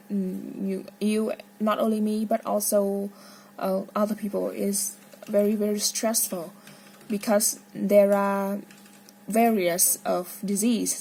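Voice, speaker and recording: Very slowly, a woman speaks in a dark, mellow, somewhat breathy tone with fairly even intonation. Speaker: medical student. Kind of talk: casual monologue. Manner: halting.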